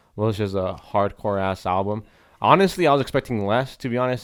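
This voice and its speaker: Over a very clean recording with a silent background, a man with a fairly low pitch speaks with ordinary pitch variation. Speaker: podcast host. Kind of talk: casual chat. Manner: animated, casual.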